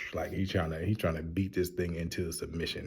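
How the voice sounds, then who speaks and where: A quiet, somewhat breathy whisper moves at a fairly quick pace. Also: man. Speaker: TV show reviewer. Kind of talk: casual review. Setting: public library. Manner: whispering, quiet; animated.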